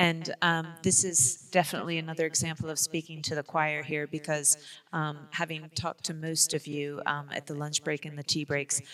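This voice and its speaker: A woman with an American accent speaks at a moderate pace in a very deep, low pitch. Her intonation is monotone and flat, and the sound is dry and close with no echo. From United States. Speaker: public health professional. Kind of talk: conference presentation. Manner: frequent fillers and hesitations.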